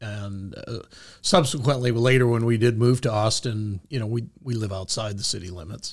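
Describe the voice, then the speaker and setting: Recorded very cleanly against a silent background, a man with an American accent speaks at a medium pitch in a somewhat breathy voice. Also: ordinary pitch variation, moderate pace. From Michigan, US Midwest. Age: 50s. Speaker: coin grading executive. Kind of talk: interview storytelling. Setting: studio.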